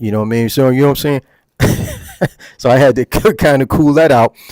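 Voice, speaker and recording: A New Jersey accent in a dry, close sound with no echo. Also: man. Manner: casual, many fillers.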